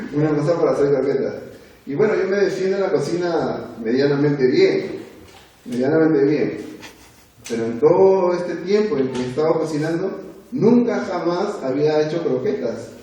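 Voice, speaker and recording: A man with a high voice talks at a moderate pace with lively intonation, amid noticeable background noise and audible room echo. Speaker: lay preacher. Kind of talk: sermon to a youth group. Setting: church. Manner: conversational, with hesitations.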